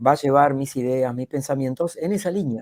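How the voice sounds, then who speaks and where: Moderate pacing, captured in a dry, close sound free of echo. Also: man. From Argentina. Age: 60s. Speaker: public speaking coach and speaker. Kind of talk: podcast interview.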